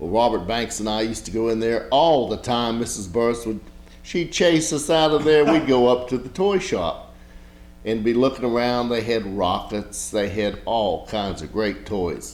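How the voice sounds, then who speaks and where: A man with an American accent talks at a medium pitch and moderate pace. Audible room echo and noticeable background noise fill the recording. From Blacksburg, Virginia. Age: 60s. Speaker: local historian and photographer. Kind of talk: oral history interview. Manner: casual, rambling with self-corrections.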